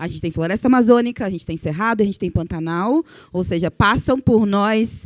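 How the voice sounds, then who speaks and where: A woman with a plain, everyday voice, medium pitch and lively intonation at a moderate pace, dry and close with no echo on a very clean recording with a silent background. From Brazil, Cuiabá, Mato Grosso. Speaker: journalist and communicator. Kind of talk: panel discussion talk.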